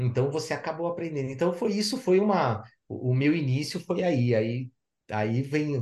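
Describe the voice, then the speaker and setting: Somewhat breathy, a man speaks at a moderate pace with fairly high pitch and lively intonation. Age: 50s. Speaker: underwater photographer. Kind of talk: casual chat.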